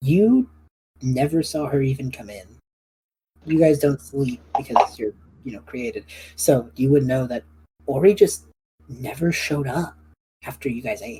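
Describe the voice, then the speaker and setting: In a raspy, put-on character voice at a low-to-middle pitch, the speaker moves at a moderate pace with long, frequent pauses. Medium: actual play.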